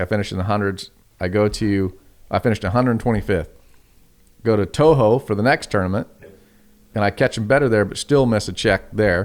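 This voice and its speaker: A man with an American accent and fairly low pitch talks at a fairly quick pace, broken by long, frequent pauses. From California. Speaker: professional bass angler. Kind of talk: casual podcast interview.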